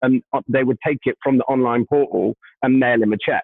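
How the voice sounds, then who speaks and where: A man speaks at a medium pitch in a British accent. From UK. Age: 30s. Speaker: staffing tech business leader. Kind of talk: casual interview chat.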